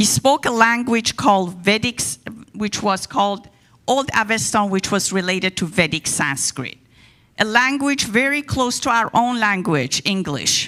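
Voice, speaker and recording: With an Iranian accent, a woman speaks at a fairly slow pace in a fairly high pitch, with lively intonation and a bright, sharp tone, on a very clean recording with a silent background. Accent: Iranian (Persian). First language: Persian. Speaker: guest speaker on religion. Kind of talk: talk to a congregation.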